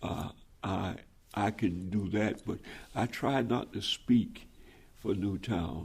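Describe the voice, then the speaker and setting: A man speaks at a very slow pace with long, frequent pauses. His voice is fairly low and somewhat breathy. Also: ordinary pitch variation. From US South. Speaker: pastor. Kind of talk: oral history interview.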